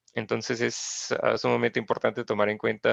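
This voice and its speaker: A moderate pace in a dry, close sound with no echo. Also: man. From Austria, Graz. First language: German (speaking Spanish). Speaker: geographer, researcher. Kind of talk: interview. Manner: halting, many fillers and repetitions.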